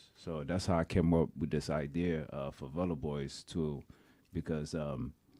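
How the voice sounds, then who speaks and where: A man's very deep, low voice with a dark, mellow tone, a fairly slow pace, and a Haitian accent. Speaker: clothing brand founder, tech sales professional. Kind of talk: interview. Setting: studio.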